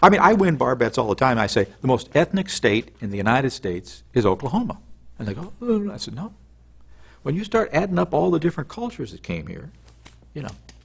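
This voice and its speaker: Talking at a very fast pace, a man with an American accent uses very wide pitch swings and vocal fry. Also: medium pitch for a man, big swings in loudness. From US Midwest. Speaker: television news correspondent. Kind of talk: interview. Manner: animated.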